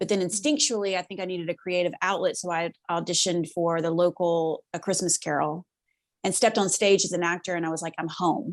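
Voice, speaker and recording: In a Southern US accent, a woman speaks at a fairly quick pace with fairly even intonation, the sound dry and close with no echo. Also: quiet background. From US South, Mississippi near Memphis. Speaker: actress and writer. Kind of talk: podcast interview.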